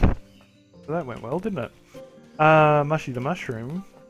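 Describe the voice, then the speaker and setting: Music plays in the background as a man speaks with an Australian accent at a fairly high pitch. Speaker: gamer. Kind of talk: let's play commentary. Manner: casual, rambling.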